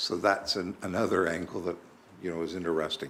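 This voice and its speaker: Very deep, low voice of a man, moving along fairly quickly. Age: 60s. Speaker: municipal councillor. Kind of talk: council meeting discussion.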